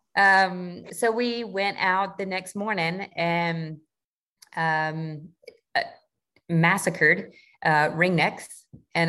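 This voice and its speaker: With a Southern US accent, a woman speaks in a fairly low pitch and a bright, sharp tone, her intonation fairly even, leaving long, frequent pauses against a quiet background. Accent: Southern US (Georgia). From US South, south Georgia. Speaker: Navy sailor and duck hunter. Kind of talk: casual interview chat.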